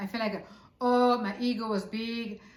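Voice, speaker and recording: A woman with an Italian accent at a moderate pace, with audible room echo. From Italy. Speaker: author and spiritual teacher. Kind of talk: casual interview conversation. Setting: on a couch.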